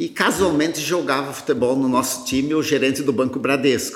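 At a moderate speed, a man talks with audible room echo and noticeable background noise around him. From Rio Grande do Sul, Brazil. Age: 50s. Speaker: agribusiness founder. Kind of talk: interview.

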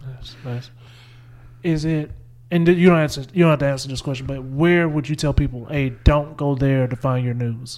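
On a very clean recording with a silent background, a man in a normal speaking voice talks at a moderate pace and fairly high pitch, with fairly even intonation and big swings in loudness. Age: 20s. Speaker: podcast host. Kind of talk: casual interview.

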